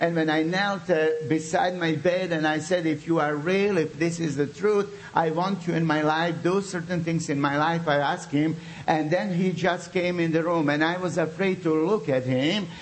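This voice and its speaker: A man's high-pitched, animated voice amid noticeable background noise. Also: moderate pace, very even loudness. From Bosnia. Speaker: pastor. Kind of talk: sermon with prayer. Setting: church with audience. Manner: animated, fervent.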